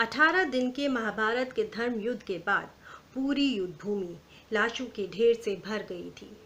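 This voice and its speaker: A woman's bright, sharp tone, fairly high in pitch, with ordinary pitch variation and big swings in loudness. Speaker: storyteller. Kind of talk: story narration.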